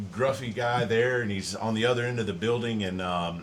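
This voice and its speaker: Audible room echo surrounds this man's voice. His pitch sits in the medium range and varies in an ordinary way. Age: 40s. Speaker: podcast host, former Navy colleague. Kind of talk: casual interview.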